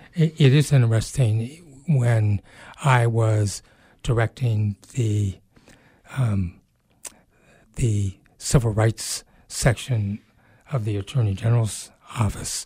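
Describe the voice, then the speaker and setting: A man with a dark, mellow, somewhat breathy voice speaks very slowly at a medium pitch, with ordinary pitch variation and long, frequent pauses. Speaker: radio host. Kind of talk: radio interview. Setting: radio studio.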